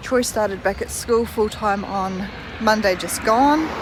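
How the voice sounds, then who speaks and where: Over noticeable background noise, a woman speaks at a fairly high pitch with ordinary pitch variation. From New Zealand. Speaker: vlogger. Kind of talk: casual vlog chat. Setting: outdoors, walking.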